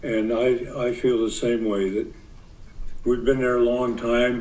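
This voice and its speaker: A man's medium-pitched voice with an American accent, monotone, flat intonation and a fairly slow pace, plus audible room echo and noticeable background noise. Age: 90s. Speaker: farmer. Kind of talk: public testimony.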